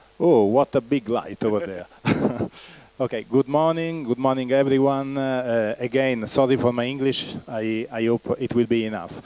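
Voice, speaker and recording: Speaking with an Italian accent at a moderate pace, a man at medium pitch keeps his intonation fairly even in a dry, close sound with no echo, with noticeable background noise. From Italy. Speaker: company founder and executive. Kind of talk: keynote presentation. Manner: halting, many fillers.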